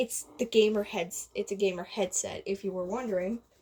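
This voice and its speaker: A quiet, somewhat breathy female voice. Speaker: gaming youtuber. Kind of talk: casual vlog rambling. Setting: home bedroom recording. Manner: rambling, halting.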